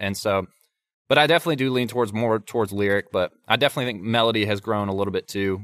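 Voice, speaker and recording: Talking at a very fast pace, this man has a Southern US accent. His pitch is fairly low, with ordinary variation. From North Carolina. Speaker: songwriter. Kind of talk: casual interview chat. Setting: studio.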